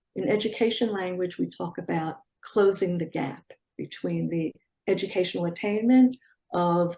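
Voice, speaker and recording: A woman speaks with a Philadelphia accent. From US Northeast, Philadelphia. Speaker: educator and civics advocate. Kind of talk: interview. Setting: video call.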